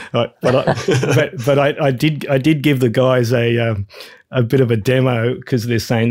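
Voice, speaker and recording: A man with an Australian accent at a moderate pace, ordinary pitch variation, in a very clean recording with a silent background. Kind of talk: casual interview chat.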